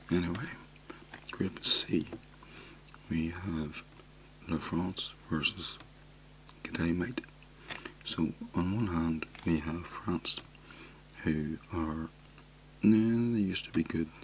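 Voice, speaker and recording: Soft-spoken delivery at a very slow pace, ordinary pitch variation, long and frequent pauses, and noticeable background noise. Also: man, very deep, low pitch for a man. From Ireland. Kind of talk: soft-spoken ASMR talk.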